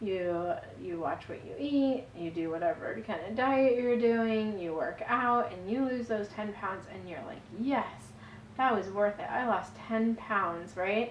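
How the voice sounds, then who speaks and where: A woman with an American accent at a fairly high pitch, fairly slow, with lively intonation, big swings in loudness, and audible room echo. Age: 40s. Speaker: vlogger, stay-at-home mom. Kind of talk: personal vlog testimony. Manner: casual, conversational.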